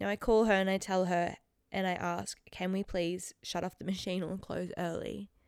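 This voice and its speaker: At a moderate pace, a woman with an Australian accent speaks in an animated tone at a medium pitch, in a very clean recording with a silent background. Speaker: podcast host. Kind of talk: casual solo chat.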